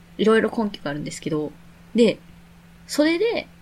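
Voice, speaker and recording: A somewhat breathy woman at a fairly quick pace, her pitch swinging very widely. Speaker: podcast co-host. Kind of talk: casual chat.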